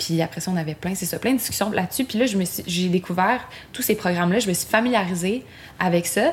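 The speech races along very fast with a somewhat breathy quality. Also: woman. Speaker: singer-songwriter. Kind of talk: casual chat. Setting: home studio in Montreal.

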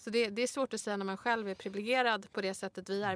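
A woman speaks at a very fast pace, her medium-pitched voice carrying a fairly even intonation. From Sweden, Stockholm (Bredäng). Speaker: podcast co-host, rhetorician. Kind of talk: casual interview chat.

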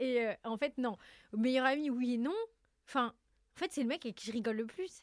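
A woman with a high-pitched voice talks at a fairly quick pace but leaves long, frequent pauses, in a very clean recording with a silent background and a dry, close sound with no echo. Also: ordinary pitch variation. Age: 20s. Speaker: content creator and entrepreneur. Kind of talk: casual chat.

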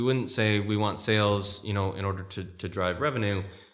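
At a moderate pace, a man with an American accent speaks in a fairly low pitch, with audible room echo around him. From California. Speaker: tech entrepreneur. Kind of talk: interview. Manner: halting.

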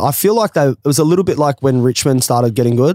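Speaking very fast, a man with an Australian accent keeps to a medium pitch. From rural Australia. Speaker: former footballer and business founder. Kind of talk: casual chat.

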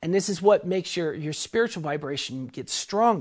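Against a quiet background, a woman talks with a fairly low pitch. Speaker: spiritual author and teacher. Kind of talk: casual talk on spirituality. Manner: halting, filler-heavy.

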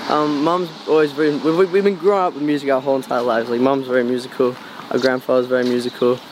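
A very fast voice in an Australian accent, with ordinary pitch variation and noticeable background noise. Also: man, medium pitch for a man. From Australia, Cairns, Queensland. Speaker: musician. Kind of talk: casual interview. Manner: halting.

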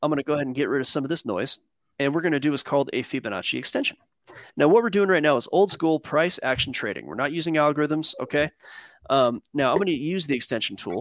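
Talking at a very fast pace, a man uses a fairly high pitch, lively intonation and vocal fry. His voice sounds dry and close with no echo, and the background is quiet. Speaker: crypto market analyst. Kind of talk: casual chat with chart analysis. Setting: live stream.

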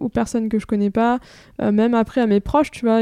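Over a very clean recording with a silent background and dry, close sound with no echo, a woman speaks with a fairly high pitch, a dark, mellow tone and monotone, flat intonation. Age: 20s. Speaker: entrepreneur and author on acne. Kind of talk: personal testimony interview.

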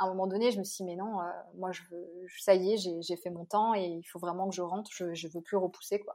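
Her tone is dark and mellow, set at medium pitch with monotone, flat intonation. This woman speaks at a fairly quick pace, her loudness swinging widely. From Réunion, east (Bras-Panon, Saint-André). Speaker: journalist and travel blogger. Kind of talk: casual interview.

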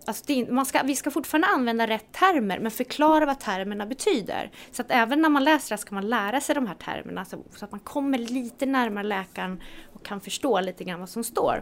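A woman with an unremarkable speaking voice talks fairly quickly at a fairly high pitch, with lively intonation and big swings in loudness. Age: 40s. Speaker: health entrepreneur. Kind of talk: casual interview.

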